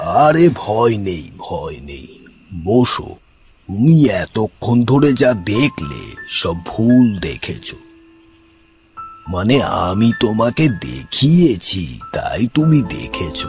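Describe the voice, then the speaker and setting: In a cartoonish character voice at medium pitch, a man speaks at a very slow pace over faint music in the background. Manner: calm, measured, refined.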